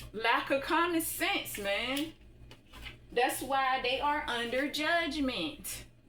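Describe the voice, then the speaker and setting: A woman with a high pitch uses a raised, projected voice at very even loudness. She talks at a very slow pace, with ordinary pitch variation. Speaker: spiritual tarot reader. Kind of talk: tarot reading monologue.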